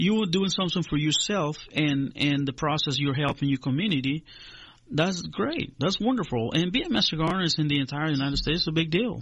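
A man with a Spanish accent talks at a fairly quick pace and a fairly high pitch, with ordinary pitch variation. His loudness stays very even. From Honduras. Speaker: agricultural extension agent. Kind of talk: radio interview.

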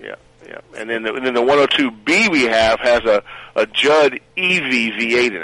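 A man at a very slow pace and medium pitch, with ordinary pitch variation, big swings in loudness and noticeable background noise. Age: 50s. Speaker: museum staff member. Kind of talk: interview. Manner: halting.

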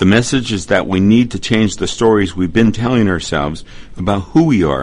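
Ordinary pitch variation accompanies a moderate pace. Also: man. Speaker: radio host. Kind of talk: radio interview. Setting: studio. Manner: formal, measured.

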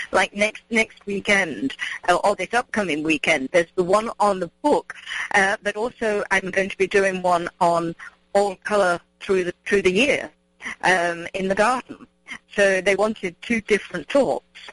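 In a southern English accent, a woman speaks at a fairly slow pace with ordinary pitch variation, in a dry, close sound with no echo. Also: medium pitch for a woman. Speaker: gardening expert. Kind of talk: casual chat. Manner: halting.

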